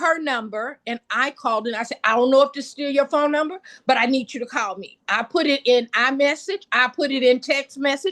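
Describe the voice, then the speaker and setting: Raised and projected, a woman's high, bright, sharp voice sounds animated with ordinary pitch variation in a dry, close recording with no echo. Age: 70s. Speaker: wellness product distributor. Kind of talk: testimony. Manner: fast.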